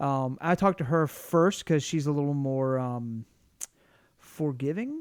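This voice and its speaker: Speaking with a Southern US accent, a man talks at a fairly slow pace. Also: ordinary pitch variation. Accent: Southern US, obvious. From US South. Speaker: podcast co-host. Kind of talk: casual chat. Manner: halting, many restarts.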